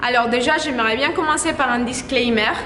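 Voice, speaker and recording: A raised, projected voice with a Spanish accent moves at a moderate pace with ordinary pitch variation, amid noticeable background noise and audible room echo. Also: woman. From Colombia. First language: Spanish (speaking French). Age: 20s. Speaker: model and actress. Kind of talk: vlog commentary.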